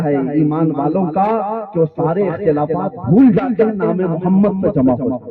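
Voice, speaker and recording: A man talks at a high pitch as noticeable noise fills the background. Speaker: Islamic scholar giving a sermon. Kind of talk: Islamic sermon (bayan) to a live audience. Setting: live public gathering. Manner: forceful, passionate, rhetorical.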